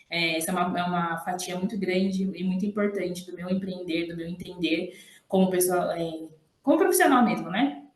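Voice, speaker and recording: A woman speaks at a moderate pace with a medium pitch and fairly even intonation, with audible room echo around her. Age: 30s. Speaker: hair therapist and entrepreneur. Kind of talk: podcast interview.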